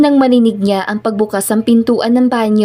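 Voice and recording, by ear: Here a passage is read aloud in a natural voice. Its intonation holds fairly even.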